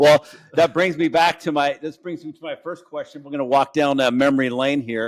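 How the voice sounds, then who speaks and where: The speaker moves at a fairly quick pace with fairly even intonation and big swings in loudness. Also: man, fairly high pitch for a man. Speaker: podcast host.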